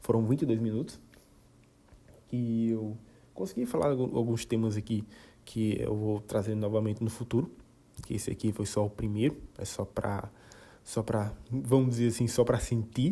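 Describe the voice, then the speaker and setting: A man's somewhat breathy, dark and mellow voice, with fairly even intonation and long, frequent pauses. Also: medium pitch for a man, moderate pace. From Brazilian Northeast. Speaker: podcaster. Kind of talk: casual monologue. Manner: halting, many repetitions.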